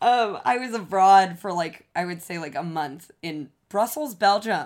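The tone is bubbly, with ordinary pitch variation and big swings in loudness. The pace is fairly slow with hardly any pauses, in a very clean recording with a silent background. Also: woman. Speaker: yoga instructor. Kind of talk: casual chat.

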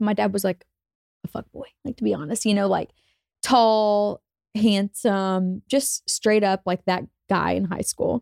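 Using a normal speaking voice, a woman talks at a moderate pace with medium pitch and ordinary pitch variation. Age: 20s. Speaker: social media influencer. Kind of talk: casual chat.

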